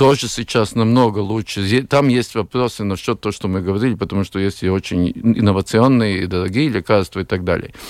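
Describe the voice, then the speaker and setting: A man speaks at a moderate pace in a fairly low voice. His pitch rises and falls in an ordinary way. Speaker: cardiologist. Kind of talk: radio discussion. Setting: studio. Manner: halting.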